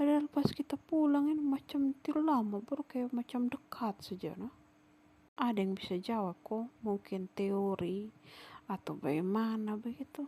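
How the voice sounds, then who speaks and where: A woman speaks at a fairly slow pace in a fairly high voice. Her intonation is lively. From Sumba, East Nusa Tenggara, Indonesia. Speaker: vlogger. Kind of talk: travel vlog narration.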